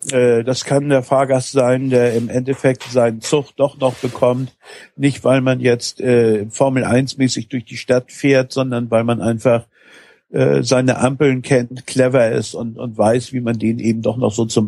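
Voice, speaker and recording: A man speaks at a medium pitch with a dark, mellow tone. His pace is fairly slow and his intonation fairly even. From Hamburg, northern Germany. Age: 50s. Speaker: taxi driver, former software entrepreneur. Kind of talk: podcast interview.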